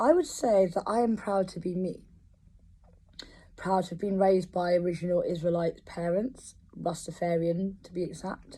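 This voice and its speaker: A somewhat breathy woman in a London accent, medium in pitch with ordinary variation, dark and mellow in tone, at a moderate pace. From London, England. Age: 30s. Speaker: composer. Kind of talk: personal testimony. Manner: hesitant, many fillers.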